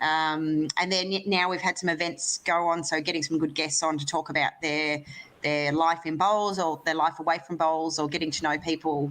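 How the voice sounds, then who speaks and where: A woman's very deep, low voice in an Australian accent, monotone and flat in intonation. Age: 30s. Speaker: lawn bowls player and sports broadcast host. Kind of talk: interview. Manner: fast.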